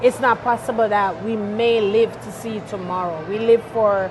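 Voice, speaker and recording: Over noticeable background noise, a woman with a fairly high pitch speaks at a fairly slow pace, her intonation fairly even and her loudness swinging widely. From Jamaica. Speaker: singer and chaplain, expat guest. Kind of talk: interview.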